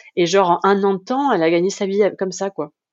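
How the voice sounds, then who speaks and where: A woman's medium-pitched voice at a moderate pace. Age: 30s. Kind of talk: casual interview testimony. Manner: hesitant, many filler sounds.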